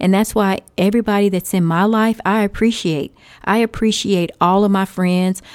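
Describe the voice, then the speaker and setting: With a Texan accent, a woman speaks at a medium pitch and fairly even intonation. The recording is very clean, its background silent. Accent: Texan American English. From Texas. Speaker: podcast host. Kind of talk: casual advice monologue.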